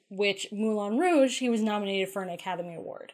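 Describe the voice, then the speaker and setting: A woman speaks in a normal speaking voice, medium in pitch, with ordinary pitch variation. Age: 30s. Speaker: podcast co-host. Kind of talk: casual chat.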